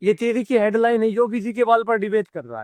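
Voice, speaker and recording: A man with a Haryana accent speaks at an extremely high pitch. The recording is very clean, with a silent background. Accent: Haryanvi. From Haryana, India. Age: 30s. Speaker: content creator. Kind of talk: interview answer. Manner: outspoken, blunt.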